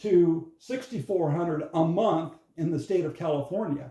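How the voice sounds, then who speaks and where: This is a man talking. His intonation is lively. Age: 70s. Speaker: wellness product distributor. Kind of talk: casual talk to camera. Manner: repetitive, stammering restarts.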